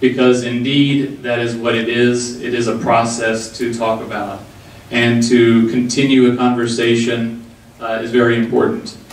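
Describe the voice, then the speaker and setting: With an American accent, a man speaks at medium pitch and a moderate pace in a monotone, flat intonation, amid audible room echo and noticeable background noise. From Texas. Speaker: diversity consultant. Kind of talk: community forum talk.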